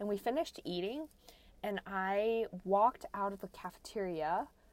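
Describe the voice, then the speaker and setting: A woman at medium pitch with an American accent and ordinary pitch variation, a plain, everyday voice. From US. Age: 20s. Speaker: podcast co-host. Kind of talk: casual chat. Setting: recording in a closet.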